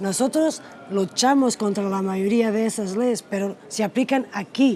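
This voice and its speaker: Noticeable background noise surrounds a woman speaking at a fairly slow pace. Her voice is fairly high, with ordinary pitch variation. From Portugal. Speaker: politician. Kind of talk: interview. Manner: soft-spoken; halting.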